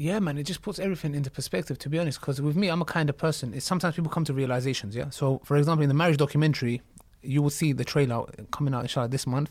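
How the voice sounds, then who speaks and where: In a London accent, a man with a fairly high, somewhat breathy voice talks at a very fast pace with ordinary pitch variation. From North London, of Turkish-Kurdish family. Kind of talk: casual chat.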